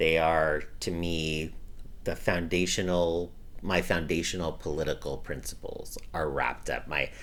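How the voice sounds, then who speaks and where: A man with an American accent at a fairly slow pace, with audible room echo. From US West Coast, Los Angeles County. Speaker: activist. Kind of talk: interview.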